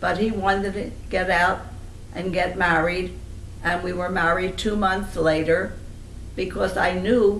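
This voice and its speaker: There is noticeable background noise as a woman speaks at a fairly slow pace with long, frequent pauses. Her medium pitch has monotone, flat intonation. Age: old. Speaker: family elder recalling memories. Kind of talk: interview answer.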